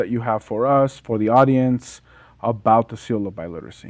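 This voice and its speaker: Speaking at a fairly quick pace, a man talks in a Spanish accent. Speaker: podcast host. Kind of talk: casual interview. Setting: studio.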